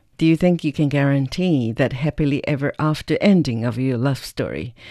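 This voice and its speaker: Dry and close with no echo, the clip has a quiet background. A woman with a Chinese accent speaks in a very deep, low voice with a dark, mellow tone. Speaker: podcast interviewer. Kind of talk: interview.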